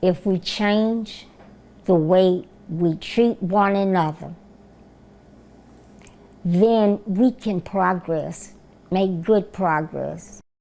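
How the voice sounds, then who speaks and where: A woman in a Southern US accent, medium pitch, dark and mellow tone, fairly even intonation, very slow pace with long, frequent pauses, on a very clean recording with a silent background. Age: 70s. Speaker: retired nurse. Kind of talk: interview answer.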